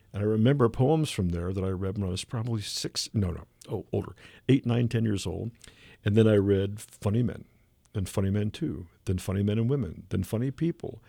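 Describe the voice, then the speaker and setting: A man speaks at a fairly quick pace with a Midwestern US accent, his pitch fairly low and his tone dark and mellow. His pitch varies in an ordinary way, and the recording is very clean with a silent background. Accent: US Midwest. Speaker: comic artist and voice performer. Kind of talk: interview. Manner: animated storytelling; halting.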